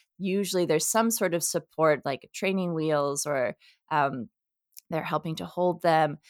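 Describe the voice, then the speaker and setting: A woman speaks at a moderate pace with a very deep, low pitch and ordinary pitch variation. The recording is very clean and close, with a silent background and no echo. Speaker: psychologist and professor. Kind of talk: interview.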